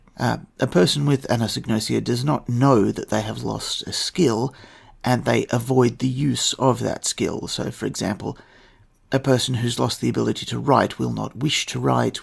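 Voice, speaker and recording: A man speaks with an Australian accent. He keeps a moderate pace. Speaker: podcast host. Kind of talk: scripted narration.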